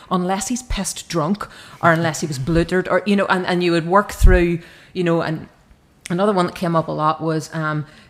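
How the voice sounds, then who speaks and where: With a Northern Irish accent, a woman speaks at a fairly low pitch. Her intonation stays fairly even. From Northern Ireland, County Armagh. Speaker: novelist. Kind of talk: panel discussion.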